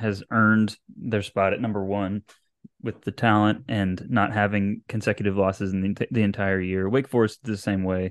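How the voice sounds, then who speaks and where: Against a quiet background, a man with a fairly low pitch and an ordinary speaking voice talks at a moderate pace, the sound dry and close with no echo. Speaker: podcast co-host. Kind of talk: casual sports podcast chat.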